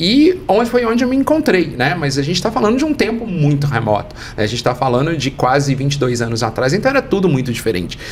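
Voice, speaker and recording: Speaking very fast with a Minas Gerais accent, a man uses a fairly high pitch and very wide pitch swings over noticeable background noise. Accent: Minas Gerais Brazilian Portuguese. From Brazil, Minas Gerais. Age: 40s. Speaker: international education expert. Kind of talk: interview.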